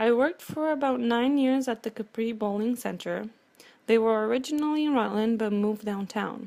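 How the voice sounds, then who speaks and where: A woman with a Romanian accent, a fairly high pitch, a dark, mellow tone, ordinary pitch variation and a fairly quick pace. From Romania, Transylvania. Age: 50s. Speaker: cleaning business owner. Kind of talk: prepared personal speech.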